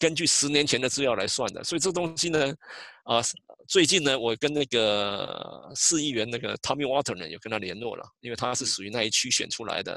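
A man with a Taiwanese accent, a bright, sharp tone and lively intonation at a fairly quick pace. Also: medium pitch for a man. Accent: Taiwanese Mandarin. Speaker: census outreach coordinator. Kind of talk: interview. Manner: halting.

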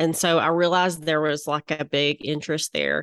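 A woman speaks in a Southern US accent. The background is quiet, and the sound is dry and close with no echo. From Little Rock, Arkansas, US South. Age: 40s. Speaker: interior designer and former physician. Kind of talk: casual interview.

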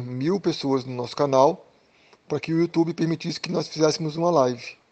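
This is a normal speaking voice moving at a moderate pace with ordinary pitch variation. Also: man. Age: 40s. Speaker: drummer and music school owner. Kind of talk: interview.

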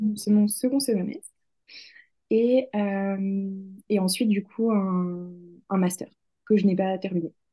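A woman speaks very slowly at a medium pitch, with long, frequent pauses and fairly even intonation. Her voice is somewhat breathy, with a dark, mellow tone. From France, Lyon. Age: 20s. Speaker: author and hypnotherapist. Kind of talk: interview. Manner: halting, many fillers.

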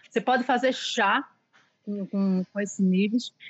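A woman speaks in a somewhat breathy voice. Her intonation stays fairly even. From Pernambuco, Recife. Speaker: pastry chef. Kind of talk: interview.

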